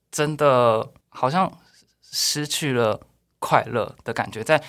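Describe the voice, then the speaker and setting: Recorded very cleanly against a silent background, a man talks at a very slow pace with a medium pitch and ordinary pitch variation. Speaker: expat worker in Japan. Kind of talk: casual chat.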